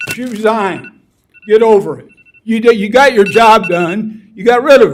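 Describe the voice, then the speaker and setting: At a fairly slow pace, a man with a Midwestern American accent speaks at a high pitch with ordinary pitch variation. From US Midwest, Peoria, Illinois. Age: 70s. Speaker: retired teacher speaking at public comment. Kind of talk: public comment at school board meeting. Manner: animated.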